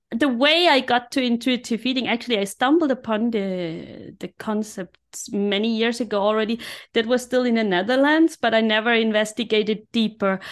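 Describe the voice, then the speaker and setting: A woman speaks with a German accent at a fairly high pitch, her pitch varying in an ordinary way. She keeps a moderate pace with hardly any pauses against a quiet background. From Austria, Innsbruck (Tyrol). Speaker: life coach. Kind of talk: podcast interview.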